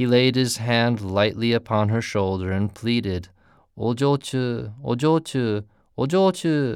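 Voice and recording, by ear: A passage is being read aloud. The voice stays natural throughout.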